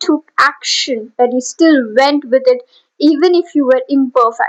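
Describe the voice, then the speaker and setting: A woman with a high voice at a fairly slow pace. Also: dry, close sound with no echo. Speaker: motivational speaker / YouTuber. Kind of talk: motivational speech to camera. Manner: earnest, repetitive, emphatic.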